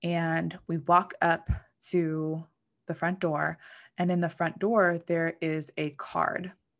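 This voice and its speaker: In a very clean recording with a silent background, a woman with an American accent speaks very slowly in a fairly low pitch, her intonation monotone and flat. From western Pennsylvania, McKeesport. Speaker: mindset coach and financial advisor. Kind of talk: solo podcast monologue.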